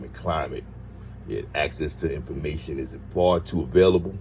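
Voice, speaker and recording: A man's voice with audible room echo. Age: 60s. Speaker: commentary video creator. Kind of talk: casual commentary. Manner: hesitant, many fillers.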